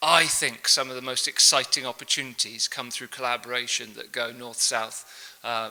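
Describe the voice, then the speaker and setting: Clear background noise behind a male voice at a middle pitch. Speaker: professor. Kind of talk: lecture. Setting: conference stage with audience and translators. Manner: fast.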